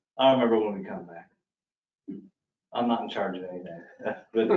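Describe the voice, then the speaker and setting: The man's speech carries audible room echo. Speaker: official reporting to the board. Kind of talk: meeting report. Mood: relaxed, informal. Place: meeting room. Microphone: podium.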